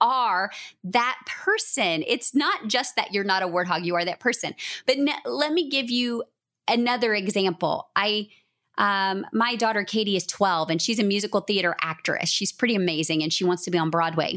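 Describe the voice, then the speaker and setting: Her tone bright and sharp, a woman speaks at a moderate pace and medium pitch with lively intonation on a very clean recording with a silent background. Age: 40s. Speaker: author and business coach. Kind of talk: casual chat.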